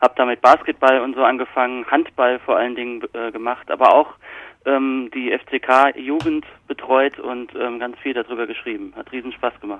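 This man speaks at a medium pitch. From Palatinate, Kaiserslautern (Germany). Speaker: journalist and book author. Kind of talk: interview.

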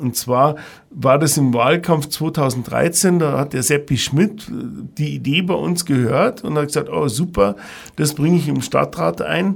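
A man with vocal fry speaks at a fairly high pitch with lively intonation. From Bavaria, Ingolstadt. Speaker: hotel and restaurant manager. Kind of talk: interview.

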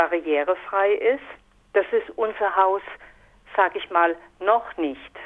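A woman's voice at a medium pitch. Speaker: resident of a housing project. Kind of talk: interview. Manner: halting.

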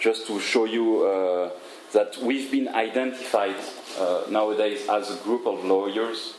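A fairly slow voice in a French accent with fairly even intonation, amid audible room echo and noticeable background noise. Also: man. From France, Paris. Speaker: lawyer. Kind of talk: lecture.

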